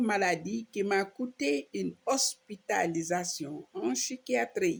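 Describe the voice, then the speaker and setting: A woman speaks at a very slow pace with vocal fry and very wide pitch swings. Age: 60s. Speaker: social media preacher. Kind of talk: personal video monologue mixing French and Wolof.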